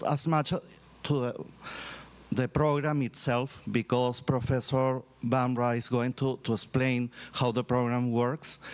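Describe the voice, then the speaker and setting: Speaking with a Spanish accent, a man keeps a medium pitch and very even loudness while taking long, frequent pauses. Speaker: university vice-rector. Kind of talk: ceremony speech. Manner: halting.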